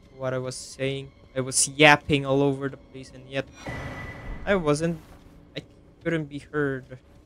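A man at a fairly slow pace, fairly high in pitch, monotone and flat, with long, frequent pauses, big swings in loudness and noticeable background noise. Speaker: gaming streamer. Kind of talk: live gameplay commentary.

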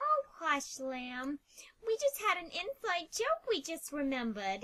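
This is a put-on character voice, female-sounding and extremely high-pitched. It moves at a fairly slow pace with very wide pitch swings. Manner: upset, accusing.

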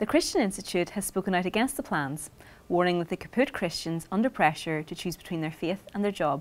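The speech moves at a fairly quick pace. Its intonation rises and falls in a lively way. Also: woman, medium pitch for a woman. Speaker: news presenter. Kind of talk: scripted weekly news bulletin reading. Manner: measured, even-paced and formal; neutral, crisp broadcast delivery. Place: studio.

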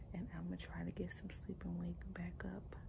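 Noticeable background noise runs under this woman's speech. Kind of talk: casual vlog chat. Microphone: phone near.

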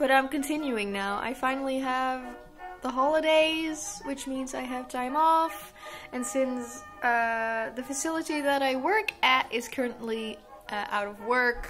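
Clear music plays in the background. A woman with a high voice talks at a fairly slow pace with ordinary pitch variation. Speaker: costume maker vlogger. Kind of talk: casual vlog chat. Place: home room. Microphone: phone near.

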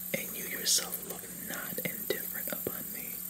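A soft-spoken man talks at a very slow pace. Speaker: storyteller. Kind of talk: reading a myth aloud. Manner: soft-spoken ASMR story reading.

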